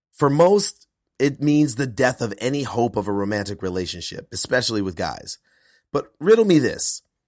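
Medium-pitched male speech at a moderate pace, with very wide pitch swings, in a very clean recording with a silent background. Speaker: podcast host and performance coach. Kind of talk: scripted intro monologue; casual interview chat.

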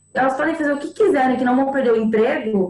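A woman's high-pitched voice at a fairly quick pace, with noticeable background noise. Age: 20s. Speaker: actress. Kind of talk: casual chat.

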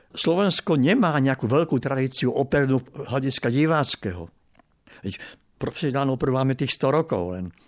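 An unremarkable speaking voice at a fairly quick pace with lively intonation, on a very clean recording with a silent background. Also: man, medium pitch for a man. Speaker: opera critic. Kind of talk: interview.

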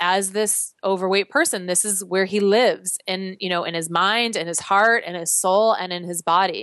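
A woman with an American accent and an unremarkable speaking voice speaks at a fairly slow pace, medium in pitch with ordinary pitch variation, against a quiet background. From US Midwest, Chicago. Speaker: fitness instructor. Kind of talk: casual chat; guided exercise instructions.

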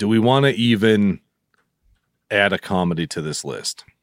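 Recorded very cleanly against a silent background, a man talks at a fairly slow pace in a fairly low voice with ordinary pitch variation. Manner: laughing, easygoing.

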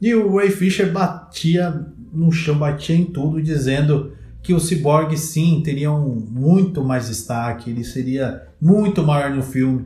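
Very slowly and in a fairly high pitch, a man speaks with a dark, mellow, somewhat breathy tone, ordinary pitch variation and audible room echo. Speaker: podcast host. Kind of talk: casual chat.

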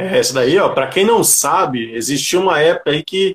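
A man speaking at a moderate pace. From São Paulo, Grajaú (south zone). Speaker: livestream host. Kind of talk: casual interview on a livestream.

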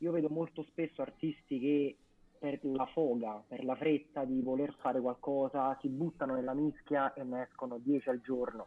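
At a moderate pace, a man with a fairly high pitch uses an ordinary speaking voice. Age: 20s. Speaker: music page co-founder. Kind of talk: casual interview on live stream.

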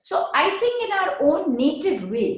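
Audible room echo hangs around a woman as she talks. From India, West Bengal (Durgapur). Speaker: HR executive. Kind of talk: interview.

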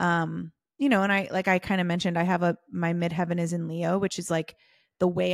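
A woman with an American accent at a very fast pace, fairly low in pitch and fairly even in intonation, on a very clean recording with a silent background and a dry, close sound with no echo. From US, Southern California. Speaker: business coach. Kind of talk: casual interview chat.

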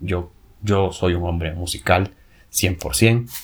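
A man talks with a very deep, low pitch. Noticeable background noise runs through the clip. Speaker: podcast host. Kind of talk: casual monologue. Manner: animated; halting, frequent filler and repetitions.

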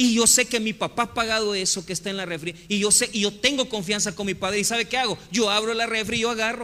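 Projecting a raised, high voice, a man with a Salvadoran accent rushes at a very fast pace with hardly any pauses and fairly even intonation. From El Salvador. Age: 40s. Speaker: pastor. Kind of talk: sermon.

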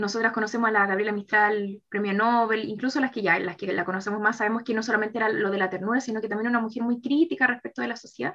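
Talking very fast with hardly any pauses, a woman speaks at a fairly high pitch with ordinary pitch variation. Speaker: teacher and writer. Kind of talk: casual chat.

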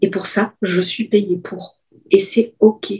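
A woman speaks with a dark, mellow tone. She sounds somewhat breathy, with ordinary pitch variation. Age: 50s. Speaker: business coach. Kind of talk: interview.

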